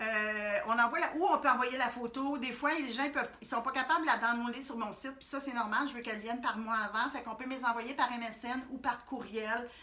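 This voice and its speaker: With noticeable background noise behind her, a woman speaks at a high pitch with fairly even intonation and big swings in loudness. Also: hardly any pauses. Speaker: art workshop instructor. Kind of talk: live-streamed tutorial. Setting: Facebook Live stream. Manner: hesitant with many fillers.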